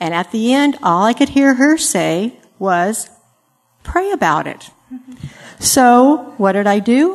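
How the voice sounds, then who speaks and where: A woman's high-pitched voice at a very slow pace, with very wide pitch swings and long, frequent pauses. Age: 60s. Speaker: panelist. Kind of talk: panel Q&A. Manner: hesitant about public speaking.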